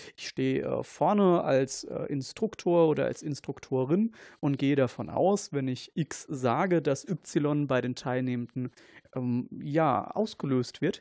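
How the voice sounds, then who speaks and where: A man's fairly high voice with a dark, mellow tone, ordinary pitch variation and a fairly slow pace, the sound dry and close with no echo. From Germany, Kaiserslautern (Palatinate). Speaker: paramedic and researcher. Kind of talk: casual chat. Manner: halting.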